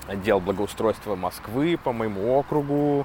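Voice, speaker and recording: Background noise is noticeable behind a man's voice. He speaks very slowly at medium pitch with ordinary pitch variation. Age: 30s. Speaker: stand-up comedian and podcaster. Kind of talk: casual monologue podcast. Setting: outdoors walking dogs.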